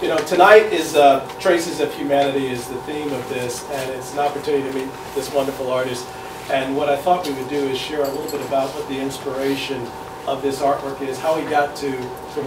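Very fast talk from a man against noticeable background noise. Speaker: event host, interviewer. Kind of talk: introductory speech to audience.

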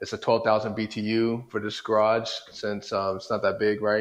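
Against a quiet background, a man with a fairly low pitch talks at a fairly quick pace. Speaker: home garage DIY vlogger. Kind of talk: casual vlog chat. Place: garage. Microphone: lapel.

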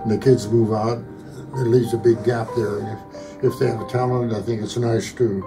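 A man with a medium-pitched voice speaks at a moderate pace and a fairly even intonation while clear music plays in the background. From Pennsylvania, USA. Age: 80s+. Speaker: amateur painter; military veteran. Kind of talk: interview answer. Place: home room.

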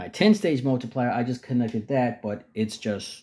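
A man's pitch varies in an ordinary way as he talks with a quiet background. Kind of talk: casual explanation of a project. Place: home room. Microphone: phone near.

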